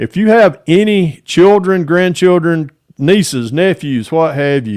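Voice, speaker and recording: Against a quiet background, a man with a Southern US accent speaks at a fairly slow pace with very wide pitch swings. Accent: Southern US (Georgia). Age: 60s. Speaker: model car hobbyist YouTuber. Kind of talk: casual interview chat. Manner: casual, halting with many fillers.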